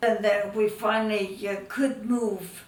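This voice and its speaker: Amid noticeable background noise, a woman speaks very slowly in a medium pitch with monotone, flat intonation. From Netherlands, raised in Canada. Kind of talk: interview answer.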